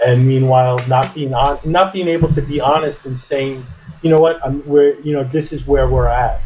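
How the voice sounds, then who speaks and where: A man speaks with a fairly high pitch. His pace is moderate and his intonation fairly even. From United States. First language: French. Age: 50s. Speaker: podcast guest. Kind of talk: casual conversation. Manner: halting, many fillers and restarts.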